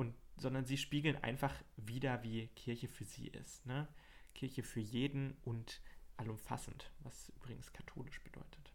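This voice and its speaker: A man talks at a moderate pace and medium pitch. His intonation is monotone and flat, with vocal fry. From Hesse, Germany (Marburg). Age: 20s. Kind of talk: casual chat. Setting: small home desk studio.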